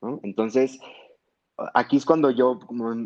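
The voice belongs to a man. It rests at a medium pitch. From Mexico, Sonora (Hermosillo). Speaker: psychiatry resident. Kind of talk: interview. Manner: halting.

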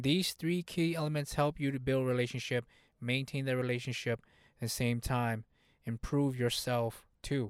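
A man talks at a moderate pace in a medium pitch, with very even loudness and fairly even intonation. The recording is very clean, with a silent background and a dry, close sound with no echo. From US, Hmong immigrant family. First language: Hmong. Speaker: motivational podcast host. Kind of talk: motivational monologue.

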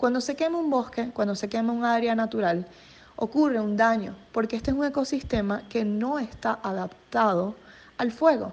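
A woman speaks at a moderate pace in a plain, everyday voice. Her pitch is fairly high, with ordinary pitch variation. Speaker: environmental journalist. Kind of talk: radio interview.

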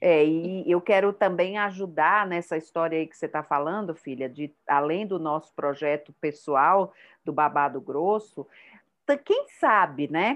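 A woman's fairly low voice at a fairly slow pace, with ordinary pitch variation and big swings in loudness. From Brazil, Bahia (Salvador). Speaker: podcast host, psychotherapist. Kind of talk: casual chat.

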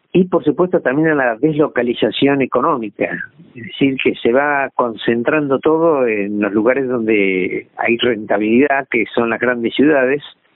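At a moderate pace, a man speaks at a medium pitch in an ordinary speaking voice. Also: ordinary pitch variation, hardly any pauses. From Argentina, southwest Buenos Aires province. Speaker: retired agronomist. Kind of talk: interview.

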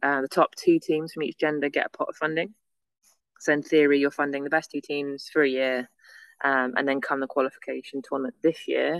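In a northern English accent, a woman talks at a fairly quick pace against a quiet background, the sound dry and close with no echo. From northern England, near Manchester. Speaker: beach volleyball athlete. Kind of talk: casual interview. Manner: fast, run-on.

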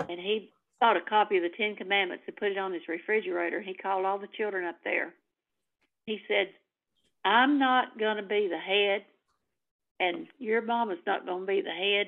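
In a Tennessee accent, a woman speaks at a medium pitch and a moderate pace with ordinary pitch variation. She pauses often and at length. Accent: Southern US (Tennessee). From US South. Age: old. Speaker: activist. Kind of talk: casual chat.

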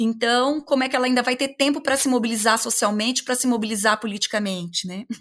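Words come at a very fast pace, and the pitch varies in an ordinary way. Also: woman, fairly high pitch for a woman. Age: 40s. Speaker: law professor. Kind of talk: interview.

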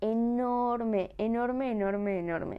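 This is a woman speaking. She has a Mexican accent. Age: 20s. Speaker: podcaster. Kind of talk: casual monologue.

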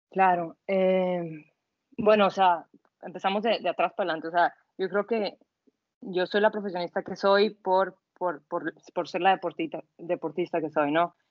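A normal speaking voice keeps fairly even intonation and a moderate pace. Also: woman, medium pitch for a woman. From northwest Mexico (Sonora). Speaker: athlete and yoga instructor. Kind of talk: casual interview.

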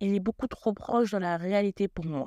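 A woman speaks in a dark, mellow tone with ordinary pitch variation. The sound is dry and close with no echo, on a very clean recording with a silent background. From Senegalese and Guadeloupean family. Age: 20s. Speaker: podcast host, health student. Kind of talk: solo podcast monologue.

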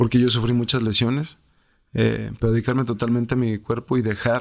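Over a silent background on a very clean recording, a man speaks at medium pitch. His pace is moderate and his intonation fairly even. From Mexico, Irapuato, Guanajuato. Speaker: retired professional footballer. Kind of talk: interview. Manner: halting, frequent repetitions.

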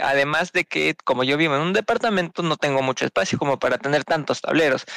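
Recorded dry and close with no echo, a man with a fairly high pitch speaks in a bright, sharp tone with fairly even intonation. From Peru. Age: 20s. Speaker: podcast co-host. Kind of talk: casual chat.

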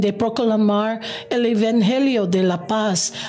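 At a very slow pace, a speaker with a non-native accent talks amid noticeable background noise and audible room echo. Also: woman. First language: English (speaking Spanish). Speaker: pastor. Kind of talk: scripture reading. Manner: halting.

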